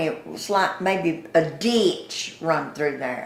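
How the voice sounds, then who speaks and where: A woman at a very slow pace with a Southern US accent, with audible room echo. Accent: Southern US (Georgia). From US South, Atlanta. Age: 80s+. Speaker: longtime resident, former store owner. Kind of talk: oral history interview. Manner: folksy storytelling.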